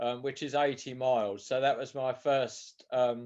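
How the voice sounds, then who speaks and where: A man speaks at a moderate pace and medium pitch with a southern English accent. The background is quiet. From southern England, Sussex. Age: 70s. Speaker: author and ultramarathon runner. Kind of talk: interview. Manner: hesitant, repeats words.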